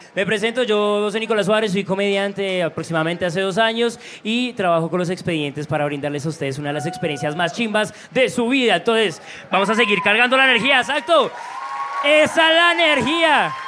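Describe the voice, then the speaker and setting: A man speaks in a raised, projected, high voice with an animated tone. His pace is fairly quick and his pitch swings very widely. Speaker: comedian. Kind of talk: stand-up warm-up. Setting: stage with audience.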